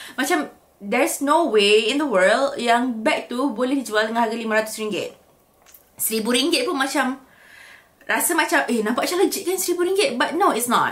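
At a fairly slow pace, a woman speaks with lively intonation and a high pitch. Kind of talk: casual vlog chat. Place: home room.

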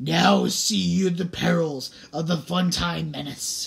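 This man uses a put-on character voice that sounds shrill. He speaks at a fairly slow pace. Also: fairly high pitch for a man. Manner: scary, screechy.

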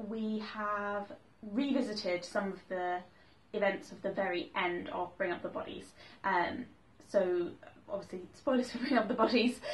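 A woman speaks at a moderate pace. Her pitch variation is ordinary. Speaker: book vlogger. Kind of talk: casual vlog chat. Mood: enthusiastic, light laughter. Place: home room. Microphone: camera far.

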